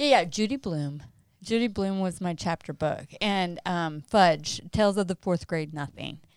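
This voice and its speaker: A woman with an American accent, fairly low in pitch, with lively intonation, on a very clean recording with a silent background. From US Mountain West. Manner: animated.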